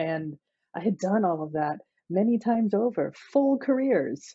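A woman against a quiet background, the sound dry with no echo. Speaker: podcast guest. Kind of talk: interview answer. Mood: warm, smiling, reflective. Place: home room. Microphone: webcam.

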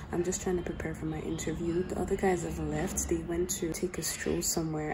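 Over noticeable background noise, a woman talks very fast. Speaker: vlogger. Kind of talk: vlog talk to camera. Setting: airport. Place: hall. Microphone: phone near.

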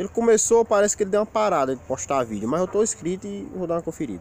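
A man at a fairly quick pace with very wide pitch swings, light background noise and a dry sound with no echo. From Rio Grande do Norte, northeastern Brazil. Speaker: YouTuber. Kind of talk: casual vlog monologue. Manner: informal, colloquial. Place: forest. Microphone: phone near.

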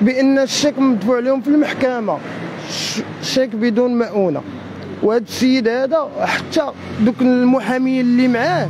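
The man's pitch is extremely high, and his pace is moderate. Background noise is noticeable. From Morocco. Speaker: fraud victim. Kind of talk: street interview. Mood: aggrieved, accusatory. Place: street. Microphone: handheld.

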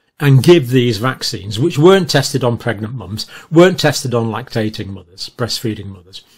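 The man's voice is somewhat breathy, and his tempo is moderate. Lively intonation marks his speech. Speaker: commentator. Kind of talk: video commentary, lecture-like. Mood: annoyed, critical. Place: home room. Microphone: webcam.

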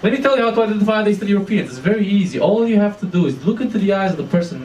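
High pitch from a man with a Romanian accent, with audible room echo and light background noise. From Romania, east. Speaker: stand-up comedian. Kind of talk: stand-up. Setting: stage with audience. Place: stage.

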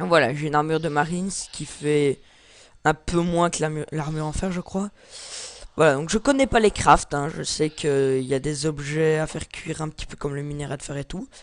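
Here a man with a fairly high pitch and ordinary pitch variation speaks at a moderate pace, his loudness swinging widely in a very clean recording with a silent background. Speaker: gaming YouTuber. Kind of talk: gameplay commentary. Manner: halting.

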